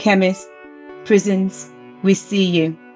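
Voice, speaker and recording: Music in the background behind a woman's medium-pitched voice with ordinary pitch variation. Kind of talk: poetry reading.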